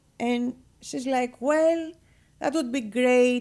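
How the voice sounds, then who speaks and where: On a very clean recording with a silent background, a woman with a Greek accent speaks at a fairly slow pace in a high voice with ordinary pitch variation. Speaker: real estate broker and business owner. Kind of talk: radio interview. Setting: radio studio. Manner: animated.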